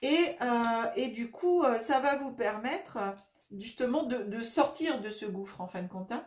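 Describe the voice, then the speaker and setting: Her intonation is lively as the woman talks at a moderate speed with a somewhat breathy sound. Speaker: tarot reader and energy healer. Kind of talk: tarot reading monologue. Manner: hesitant, many fillers.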